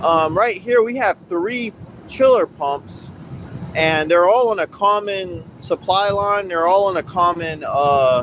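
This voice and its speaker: The speech moves at a very slow pace against noticeable background noise. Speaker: HVAC technician. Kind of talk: tutorial. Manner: loud.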